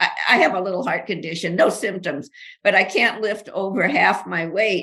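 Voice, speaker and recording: This woman's voice has a bright, sharp tone and vocal fry. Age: 80s+. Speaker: author and researcher. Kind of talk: interview. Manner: animated.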